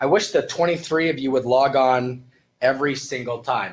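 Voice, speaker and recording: A loud male voice. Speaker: EMS instructor. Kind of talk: online lecture to live class. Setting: live webinar at computer. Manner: fast.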